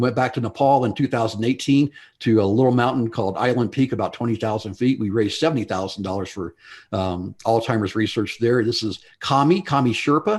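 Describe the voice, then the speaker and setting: A man with an unremarkable speaking voice talks at a medium pitch and a fairly quick pace. The background is quiet. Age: 60s. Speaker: mountain climber and Alzheimer's advocate. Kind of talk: talk to a club audience with slides.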